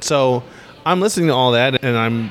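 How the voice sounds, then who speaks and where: Moderate-paced speech with an American accent amid noticeable background noise. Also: man. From US West Coast (Los Angeles). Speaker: upright bass player. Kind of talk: casual interview. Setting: on location at a jazz festival.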